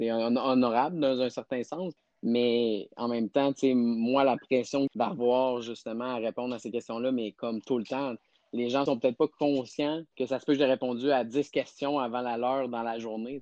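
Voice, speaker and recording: A man's medium-pitched, dark, mellow voice, fairly even in intonation and fairly slow, dry and close with no echo. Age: 30s. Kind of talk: interview.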